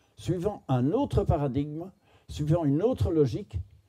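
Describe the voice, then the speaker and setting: The voice is somewhat breathy with a dark, mellow tone, moving at a moderate pace through very wide pitch swings. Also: man. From Belgium. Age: 70s. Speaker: philosopher and speaker. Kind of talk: storytelling talk to an audience.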